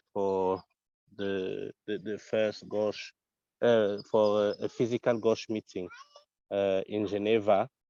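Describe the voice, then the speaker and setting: In a French accent, a man speaks at a very slow pace with a fairly low pitch and a dark, mellow tone. The sound is dry and close, with no echo. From Africa. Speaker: community council candidate. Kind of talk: candidate statement. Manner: halting, many fillers and repetitions.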